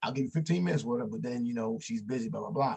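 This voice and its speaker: A man with a medium pitch talks very fast, his intonation lively and his voice somewhat breathy. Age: 50s. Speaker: author. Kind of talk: casual chat. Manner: halting.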